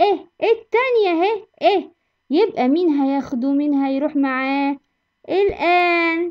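A woman speaks with an Egyptian accent. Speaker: English teacher. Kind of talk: tutorial. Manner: animated.

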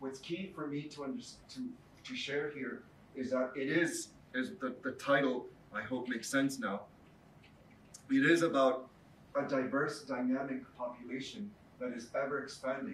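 Heard with audible room echo, a man with a Spanish accent and a fairly high pitch speaks at a moderate pace with ordinary pitch variation and long, frequent pauses. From Mexico. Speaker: professor. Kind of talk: lecture. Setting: stage with audience. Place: classroom.

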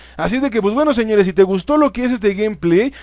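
In a Mexican accent, the speaker talks at a very fast pace with an animated tone and ordinary pitch variation. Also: man. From Mexico. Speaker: gaming youtuber. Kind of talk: gameplay commentary.

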